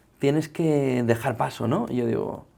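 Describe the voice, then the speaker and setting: The man's voice has a dark, mellow tone at medium pitch, heard in a very clean recording with a silent background. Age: 40s. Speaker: journalist and media founder. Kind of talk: interview conversation.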